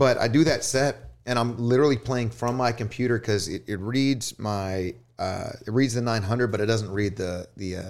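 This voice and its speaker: Recorded very cleanly against a silent background, a man with a Texan accent speaks at a moderate pace, with medium pitch and ordinary pitch variation. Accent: Texan American. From US South, northwest Houston suburbs, Texas. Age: 30s. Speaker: DJ. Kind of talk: casual chat. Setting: studio.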